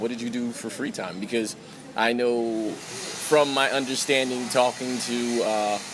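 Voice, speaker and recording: Noticeable background noise and audible room echo surround a man with an American accent speaking at medium pitch and a moderate pace. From New York. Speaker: podcast host. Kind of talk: interview.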